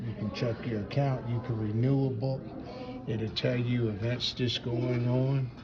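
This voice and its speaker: Amid noticeable background noise and audible room echo, a man speaks fairly slowly at a medium pitch. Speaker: vlogger. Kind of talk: casual walking tour vlog. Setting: indoors in a library. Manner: animated; lowered voice.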